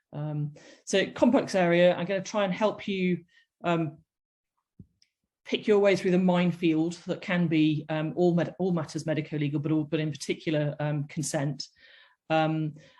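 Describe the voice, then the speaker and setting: With a British accent, a woman speaks in a fairly low, dark, mellow tone. She takes long, frequent pauses against a quiet background. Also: fairly even intonation, moderate pace. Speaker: doctor giving a medicolegal webinar. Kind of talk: lecture. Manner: halting, many fillers.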